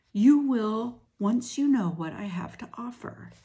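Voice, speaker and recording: A female-sounding, put-on character voice speaks at a fairly slow pace with a fairly high pitch. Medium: read story. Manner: cold, commanding.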